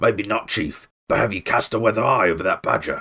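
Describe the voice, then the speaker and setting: A man puts on a growling character voice at a medium pitch. He talks at a fairly quick pace. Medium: read story.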